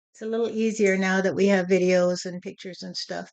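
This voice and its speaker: A woman speaks with monotone, flat intonation. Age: 70s. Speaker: spiritual medium sharing personal experience. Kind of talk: personal talk to camera.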